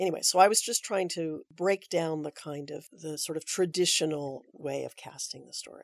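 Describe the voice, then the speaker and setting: Fairly low in pitch, a woman with an American accent and a plain, everyday voice speaks with fairly even intonation but big swings in loudness. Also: moderate pace, hardly any pauses. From US West Coast, Aptos, California. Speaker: theater director. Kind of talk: interview.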